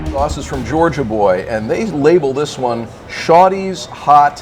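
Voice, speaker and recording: A man speaks fairly slowly in a fairly high pitch with an American accent and lively intonation. Music plays in the background, and the room echo is audible. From Wisconsin, US Midwest. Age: 60s. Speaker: barbecue competitor. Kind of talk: casual interview.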